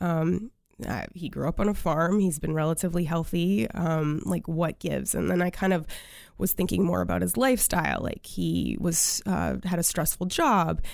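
With an American accent, a woman speaks at a moderate pace on a very clean recording with a silent background. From US Northeast, Maine. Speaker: functional medicine practitioner. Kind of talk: interview.

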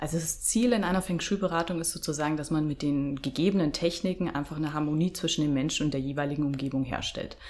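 Over noticeable background noise, a woman with a very deep, low pitch and ordinary pitch variation talks at a very fast pace with hardly any pauses. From Bavaria, Germany. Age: 30s. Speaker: feng shui consultant. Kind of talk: interview.

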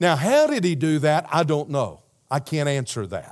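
Speaking in a Southern US accent, a man has a fairly high pitch and moderate pace. The recording is very clean, its background silent. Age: 60s. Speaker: pastor. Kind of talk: sermon. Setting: church. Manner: animated.

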